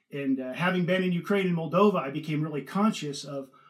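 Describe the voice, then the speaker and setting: A man talks with a Californian accent, his pitch high. He keeps a fairly quick pace with ordinary pitch variation. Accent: Californian American. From Northern California. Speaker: food company co-founder and investor. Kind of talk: interview.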